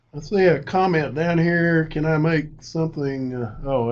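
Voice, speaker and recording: The recording of this man's voice carries audible room echo. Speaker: college instructor. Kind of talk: lecture. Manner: halting.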